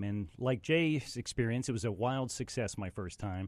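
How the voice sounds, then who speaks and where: An unremarkable speaking voice from a man with an American accent, medium in pitch and lively in intonation, on a very clean recording with a silent background. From West Virginia. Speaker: stand-up comedian. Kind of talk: casual chat. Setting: studio.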